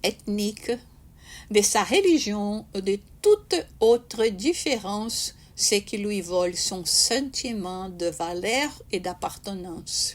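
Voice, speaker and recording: With a Brazilian accent, a woman speaks very slowly in a fairly high, somewhat breathy voice with lively intonation. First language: Portuguese (speaking French). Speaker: spiritist speaker. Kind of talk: talk. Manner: halting, many hesitations and repetitions.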